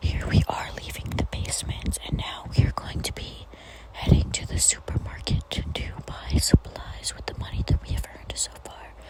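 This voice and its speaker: A woman whispers at a moderate pace, her loudness swinging widely. Noticeable background noise is present. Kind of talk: ASMR gameplay voiceover. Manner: whispered.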